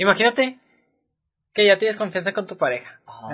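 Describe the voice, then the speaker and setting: A man talks at a moderate pace with a Mexican accent. His tone is bright and sharp. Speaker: podcast co-host. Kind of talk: casual chat.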